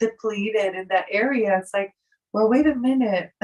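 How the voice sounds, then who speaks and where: A woman speaks with a French accent, her fairly high voice moving in lively intonation. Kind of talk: casual chat.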